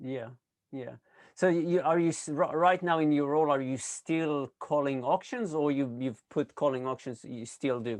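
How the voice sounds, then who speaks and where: Against a quiet background, a man with an unremarkable speaking voice talks at a moderate pace, his fairly high pitch showing ordinary variation. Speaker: interviewer, real estate sales trainer. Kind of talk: interview question.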